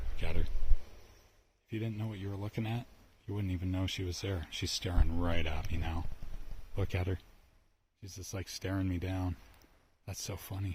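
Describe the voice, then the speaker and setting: Speaking quietly at a moderate pace, a man with a very deep, low pitch and a somewhat breathy voice keeps a monotone, flat intonation broken by long, frequent pauses. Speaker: outdoors vlogger. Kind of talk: casual vlog narration while hiking. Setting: outdoors in a forest. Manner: hushed, keeping voice low.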